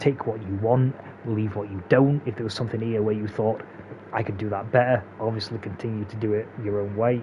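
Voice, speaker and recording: A man speaks at a fairly low pitch in a monotone, flat delivery. Noticeable background noise runs underneath. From England, Derbyshire. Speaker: gaming speedrun tutorial creator. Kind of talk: tutorial narration outro. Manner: halting, many fillers and repeats.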